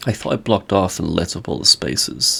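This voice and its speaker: A croaky male voice at a moderate pace. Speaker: Minecraft content creator. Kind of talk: casual gameplay commentary.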